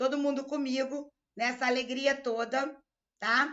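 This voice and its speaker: At a very slow pace, a woman with a Rio de Janeiro accent speaks at a high pitch. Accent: carioca. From Rio de Janeiro, Brazil. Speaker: law exam-prep teacher. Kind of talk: live online lecture. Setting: live stream.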